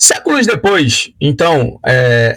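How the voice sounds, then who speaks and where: With a Carioca accent, the speaker uses lively intonation. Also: man. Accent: Carioca (Rio de Janeiro) Portuguese. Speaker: Bible study teacher. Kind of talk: lecture. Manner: hesitant, many filler sounds.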